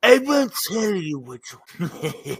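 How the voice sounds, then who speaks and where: A man's put-on character voice, pompous in tone and high in pitch, with very wide pitch swings. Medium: actual play. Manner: pompous and gloating.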